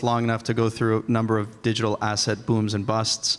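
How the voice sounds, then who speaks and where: A man with an American accent and an unremarkable speaking voice, medium in pitch and fairly quick in pace. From Boston. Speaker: compliance tech executive. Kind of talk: conference panel discussion.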